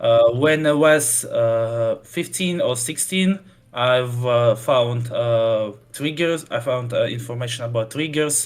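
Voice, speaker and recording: A man speaks very slowly at a medium pitch, with ordinary pitch variation. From Russia. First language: Russian. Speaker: custom campaign creator for a strategy game. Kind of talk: interview. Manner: halting, many fillers.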